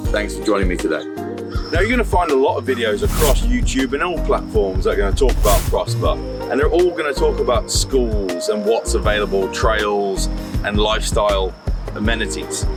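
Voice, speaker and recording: With music playing behind him, a man talks at a moderate pace. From British. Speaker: real estate agent. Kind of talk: real estate area tour to camera.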